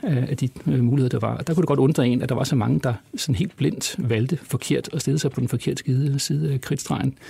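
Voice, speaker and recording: This man has a medium pitch, lively intonation and vocal fry. He moves at a moderate pace. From Copenhagen, Denmark. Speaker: law professor. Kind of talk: interview conversation.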